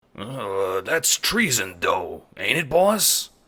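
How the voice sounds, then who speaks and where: A man uses a put-on character voice that is raspy. He speaks at a very slow pace. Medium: audio drama. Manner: hesitant.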